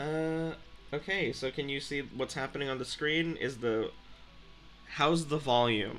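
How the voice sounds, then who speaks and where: With music in the background, a man speaks at a fairly slow pace and fairly high pitch, leaving long, frequent pauses. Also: ordinary pitch variation. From Philippines. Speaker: game streamer. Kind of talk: casual live stream chat. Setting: live stream on a laptop.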